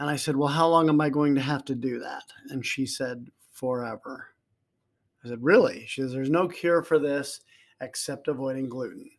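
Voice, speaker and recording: Man with an unremarkable speaking voice, fairly high pitch, fairly even intonation and moderate pace, in a very clean recording with a silent background. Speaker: life coach podcaster. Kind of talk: casual conversation.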